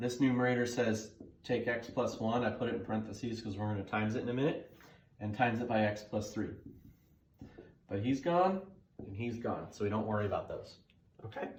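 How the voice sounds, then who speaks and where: There is audible room echo as a somewhat breathy man speaks with long, frequent pauses. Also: medium pitch for a man, ordinary pitch variation, fairly quick pace. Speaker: math teacher. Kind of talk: tutorial. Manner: fast; casual, conversational.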